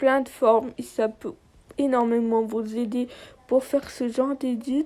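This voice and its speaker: A woman's high voice in an Arabic accent, fairly slow and fairly even in intonation, on a very clean recording with a silent background. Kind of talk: app tutorial voiceover.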